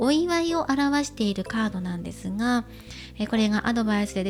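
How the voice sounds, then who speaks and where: Music sits in the background while a woman talks at a moderate pace. Her fairly high pitch carries lively intonation. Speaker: tarot reader. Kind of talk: tarot reading to camera.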